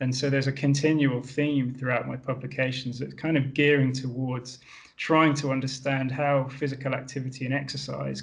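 Somewhat breathy and monotone, a man speaks at a medium pitch with flat intonation. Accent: British. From UK. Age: 30s. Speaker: exercise scientist and endurance coach. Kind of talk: podcast interview. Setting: video call.

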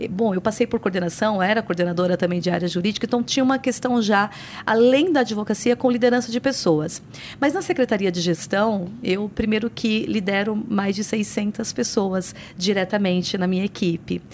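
A woman speaks at a moderate pace in a normal speaking voice. Her pitch is medium, with ordinary pitch variation. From São Paulo, Brazil (born in Paraíba, moved at five). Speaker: municipal secretary and lawyer. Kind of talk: interview.

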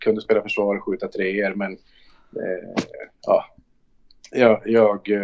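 Pausing long and often, the man speaks very slowly. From northern Sweden, Luleå. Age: 40s. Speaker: basketball coach. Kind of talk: interview. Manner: talkative; calm.

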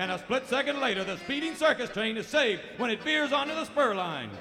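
Amid noticeable background noise, a man speaks at a very fast pace with very wide pitch swings. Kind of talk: radio theater narration. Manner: dramatic, animated announcer delivery, tongue-in-cheek; formal, brisk, old-time serial narrator.

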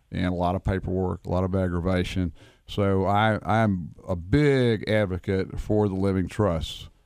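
With an unremarkable speaking voice, a man talks at a fairly slow pace and fairly low pitch with ordinary pitch variation, recorded very cleanly over a silent background. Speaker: attorney, wills and estates. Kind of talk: radio interview.

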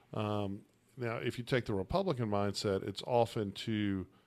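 A man speaks with an American accent in a fairly low pitch and ordinary pitch variation. He has an unremarkable speaking voice. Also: very clean recording, silent background. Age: 40s. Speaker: attorney and radio host. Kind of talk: casual political debate.

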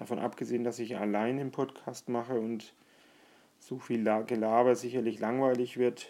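Delivered at a moderate pace, the voice has a dark, mellow tone and a monotone, flat intonation. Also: man, medium pitch for a man. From Franconia, near Bamberg. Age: 40s. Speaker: podcaster. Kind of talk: solo monologue.

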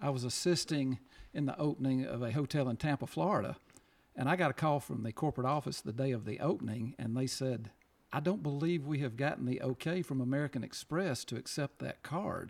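At a fairly quick pace, a man talks with ordinary pitch variation in a plain, everyday voice. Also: medium pitch for a man. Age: 50s. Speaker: podcast co-host. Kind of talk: casual chat.

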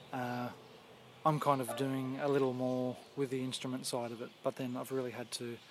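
A man's medium-pitched voice with an Australian accent, monotone and flat in intonation, at a moderate pace over noticeable background noise. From Western Sydney, Australia. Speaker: banjo player. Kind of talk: casual interview. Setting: outdoors, backyard. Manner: halting, many fillers.

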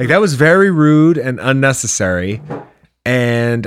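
A man speaks with an American accent at a medium pitch. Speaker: movie podcast co-host. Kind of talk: casual chat.

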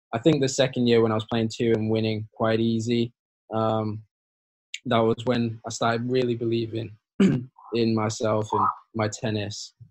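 Here a man speaks with a Yorkshire accent. His intonation is monotone and flat. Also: medium pitch for a man, moderate pace. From northern England, Hull. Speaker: college tennis player. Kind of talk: interview.

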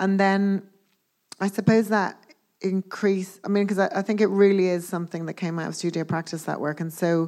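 A woman's medium-pitched voice with a Dublin accent and monotone, flat intonation, on a very clean recording with a silent background. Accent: Irish (Dublin). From Ireland, Dublin. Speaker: sculptor. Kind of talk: onstage public conversation. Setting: stage with audience.

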